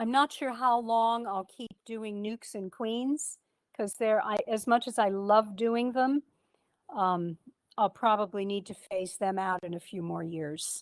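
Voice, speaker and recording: In a normal speaking voice, a woman with a fairly high pitch talks at a fairly slow pace with ordinary pitch variation and big swings in loudness, the sound dry and close with no echo. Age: 60s. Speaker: beekeeper and speaker. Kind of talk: club talk, casual.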